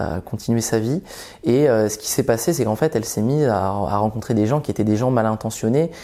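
Here a man's medium-pitched voice has a dark, mellow tone and moves at a fairly quick pace. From Belgium, then Vendée (rural western France) from about age ten. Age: 20s. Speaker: psychologist telling his life story. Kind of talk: personal testimony. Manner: halting, many repetitions.

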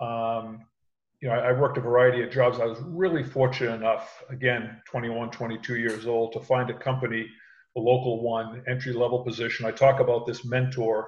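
A man talks at a moderate pace in a medium pitch. His somewhat breathy delivery stays monotone and flat. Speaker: sales executive and call center manager. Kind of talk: casual interview chat. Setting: video call.

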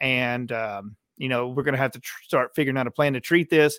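A man with an unremarkable speaking voice talks at a fairly quick pace, medium in pitch, with fairly even intonation. The sound is dry and close with no echo, on a very clean recording over a silent background. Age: 30s. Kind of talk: testimony.

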